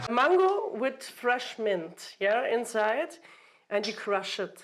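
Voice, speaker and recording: A woman with a German accent speaks very slowly at a fairly high pitch. Her voice swings very widely in pitch. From Germany. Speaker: vintage clothing shop owner and cocktail maker. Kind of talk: casual cooking show chat. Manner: halting, hesitant English.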